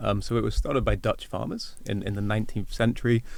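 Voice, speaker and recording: A man with a Welsh accent, very fast, monotone and flat, with vocal fry, on a very clean recording with a silent background. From Wales. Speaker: agricultural market analyst. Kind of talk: podcast interview.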